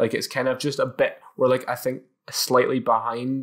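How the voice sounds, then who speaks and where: A man speaks at a moderate pace with a Scottish accent. The recording is very clean, with a silent background. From Scotland, Edinburgh. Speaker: podcast host. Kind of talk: casual chat. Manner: animated, jokey.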